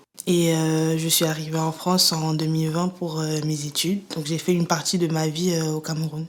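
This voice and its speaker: Flat and monotone, a woman's very deep, low voice runs at a moderate pace with hardly any pauses, noticeable background noise behind her. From Cameroon (Yaoundé). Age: 20s. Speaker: student giving testimony. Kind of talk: interview testimony. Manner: hesitant, many fillers.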